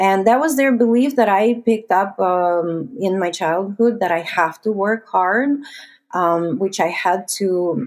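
Speaking in a Russian accent, a woman uses a medium pitch and ordinary pitch variation at a fairly slow pace. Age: 30s. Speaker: investor. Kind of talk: interview.

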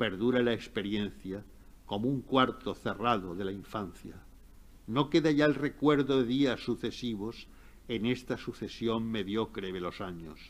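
Speaking at a fairly slow pace, a man uses a plain, everyday voice with medium pitch and ordinary pitch variation. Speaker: professor and literary scholar. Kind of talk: lecture and literary talk.

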